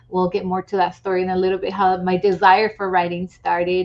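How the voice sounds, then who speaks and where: With a Spanish accent, the speaker moves at a moderate pace in a monotone, flat intonation. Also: woman. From Latin America. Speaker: author. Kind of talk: interview.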